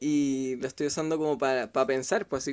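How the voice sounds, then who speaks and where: A man with a Chilean accent talks at a fairly high pitch. The recording is very clean, with a silent background. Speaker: sociologist. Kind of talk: casual chat.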